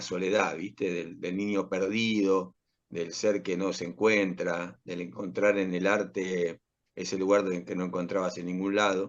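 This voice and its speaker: A man with an Argentine accent, fairly low in pitch, at a moderate pace. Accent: Rioplatense Argentine Spanish. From Argentina, Rosario. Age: 60s. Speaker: actor and playwright. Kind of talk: interview. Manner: halting.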